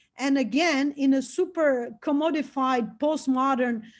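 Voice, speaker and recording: Over a quiet background, a woman with a Brazilian Portuguese accent speaks at a fairly slow pace in a high pitch. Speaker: anthropologist and psychedelic researcher. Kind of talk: lecture. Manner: halting, with frequent fillers and repetitions.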